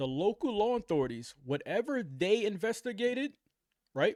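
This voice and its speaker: A loud man speaks at a fairly slow pace in an animated tone, his pitch swinging very widely. The sound is dry and close with no echo. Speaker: reaction commentator. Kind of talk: casual commentary reacting to news video. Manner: animated, repetitive.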